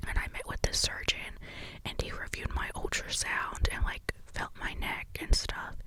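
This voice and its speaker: The speech is whispered at a fairly slow pace. Noticeable background noise can be heard. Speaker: ASMR creator. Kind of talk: ASMR whisper ramble.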